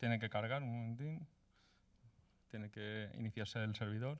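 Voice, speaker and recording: Pitch variation is ordinary as a man talks at a moderate pace. Nothing disturbs the quiet background. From Spain, Valencia; Spain. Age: 30s. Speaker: coding bootcamp graduate presenting project; presenter. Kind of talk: project demo presentation; project presentation. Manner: hesitant, many filler sounds. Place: hall. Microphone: handheld.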